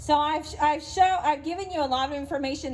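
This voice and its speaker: With an East Texas accent, a woman speaks at a fairly quick pace with ordinary pitch variation. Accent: East Texan. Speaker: business association president. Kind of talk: presentation talk.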